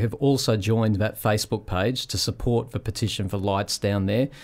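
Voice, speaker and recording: The speaker has an Australian accent. The intonation is fairly even. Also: man. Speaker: community radio host. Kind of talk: radio talk show.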